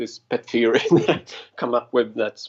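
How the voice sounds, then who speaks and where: Speaking at a fairly slow pace, a man delivers his words. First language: not English. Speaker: caller. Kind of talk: call-in conversation. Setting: Skype call.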